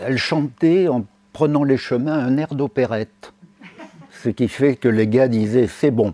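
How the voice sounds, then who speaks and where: A man's medium-pitched voice at a very slow pace, with ordinary pitch variation, long, frequent pauses and a dry, close sound with no echo. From Limousin, Haute-Vienne. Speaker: professor emeritus, lecturer. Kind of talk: lecture. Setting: stage with audience. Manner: hesitant, many fillers.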